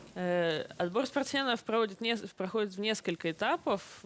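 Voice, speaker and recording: Over a silent background in a very clean recording, a woman speaks at a moderate pace with lively intonation. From Russian Far East, Kamchatka (Petropavlovsk-Kamchatsky). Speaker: Paralympic swimmer. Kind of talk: interview with children. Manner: hesitant, with fillers.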